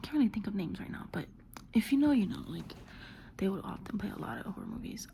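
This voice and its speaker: A woman is whispering. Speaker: ASMR creator. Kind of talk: casual ASMR ramble. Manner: whispered.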